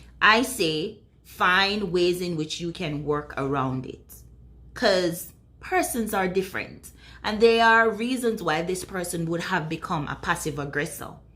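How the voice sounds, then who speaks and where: Lively intonation marks this woman's medium-pitched voice, bright and sharp in tone. She talks at a fairly slow pace, with audible room echo. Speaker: video blogger on relationships. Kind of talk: casual talk to camera.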